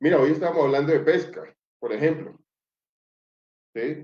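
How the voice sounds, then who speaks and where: A man's voice with fairly even intonation. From Colombia, Chocó (Pacific coast). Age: 40s. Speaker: social leader and politician. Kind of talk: interview conversation. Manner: hesitant, many fillers and repetitions.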